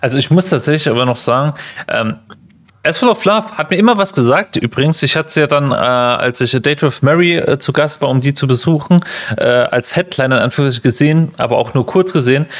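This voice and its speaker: A man speaks very fast in a fairly high voice, his intonation lively. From Germany. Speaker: podcast host. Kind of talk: casual chat.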